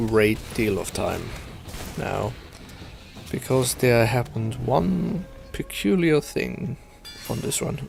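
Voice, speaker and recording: Music plays in the background as a man speaks at a very slow pace. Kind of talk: casual gameplay commentary. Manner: soft-spoken.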